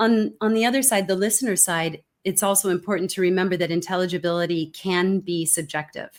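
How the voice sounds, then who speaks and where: A medium-pitched woman with an American accent speaks at a fairly quick pace with hardly any pauses and very even loudness, in a very clean recording with a silent background. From California, US. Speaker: communication expert, keynote speaker. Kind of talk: interview conversation.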